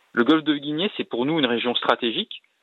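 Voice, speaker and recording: Lively intonation runs through this man's speech. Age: 40s. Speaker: naval officer, ship commander. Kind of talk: radio interview. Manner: hesitant, frequent fillers.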